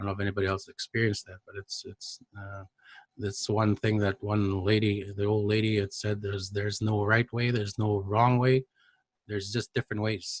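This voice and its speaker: At a fairly quick pace, a man speaks in a fairly low pitch with monotone, flat intonation and a somewhat breathy quality, while his loudness swings a lot. The sound is dry and close, with no echo. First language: Cree. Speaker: Cree language educator. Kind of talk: conference presentation.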